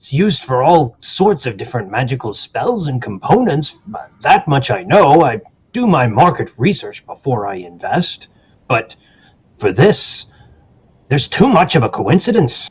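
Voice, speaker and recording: Putting on a character voice, a man speaks at a moderate pace, fairly high in pitch and with very wide pitch swings. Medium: actual play. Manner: guarded, folksy.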